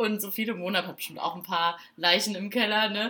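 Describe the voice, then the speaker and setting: Through noticeable background noise, a woman at a medium pitch speaks at a fairly quick pace. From Saarbrücken, Germany. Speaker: podcast co-host, student. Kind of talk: casual chat.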